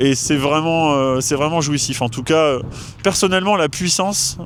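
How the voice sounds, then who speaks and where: A fairly high male voice with ordinary pitch variation, amid noticeable background noise and audible room echo. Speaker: car owner. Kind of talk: interview. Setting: outdoors. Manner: hesitant, many fillers.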